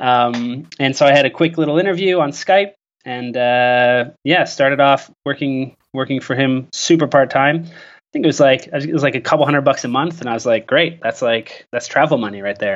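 Speaking at a moderate pace with hardly any pauses, a man with a Canadian accent has a fairly high pitch, ordinary pitch variation and an unremarkable speaking voice. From Canada, rural. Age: 30s. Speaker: travel blogger and community manager. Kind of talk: interview. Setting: remote call.

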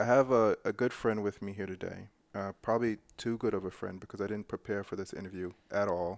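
An ordinary speaking voice with an American accent moves at a fairly quick pace in fairly even intonation, on a very clean recording with a silent background. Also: man. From New York. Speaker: radio host. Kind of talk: casual chat.

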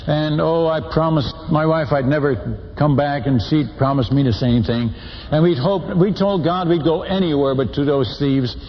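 Noticeable background noise sits behind a man with a fairly high pitch who talks at a moderate pace with ordinary pitch variation and very even loudness. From Netherlands. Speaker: missionary preacher. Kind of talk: sermon. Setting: stage with audience. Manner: animated storytelling.

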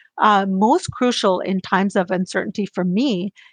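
An ordinary speaking voice from a woman, medium in pitch with ordinary pitch variation, at a fairly slow pace, dry and close with no echo, against a quiet background. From US, child of immigrants. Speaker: business development executive. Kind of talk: interview.

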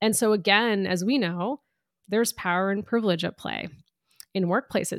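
A woman with an unremarkable speaking voice talks at a fairly quick pace and a medium pitch with ordinary variation. The recording is very clean, with a silent background. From US, Indian immigrant family. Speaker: author and diversity consultant. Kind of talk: interview.

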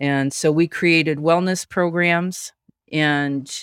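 A woman with an American accent, flat and monotone, in a very clean recording with a silent background and a dry, close sound with no echo. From Nebraska. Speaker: health coaching entrepreneur. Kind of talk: interview.

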